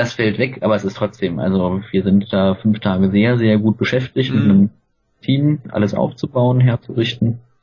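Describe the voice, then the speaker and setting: Somewhat breathy and fairly low in pitch, a man speaks at a moderate pace with very even loudness and ordinary pitch variation. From Germany, Cologne. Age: 30s. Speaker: film festival team member. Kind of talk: casual interview.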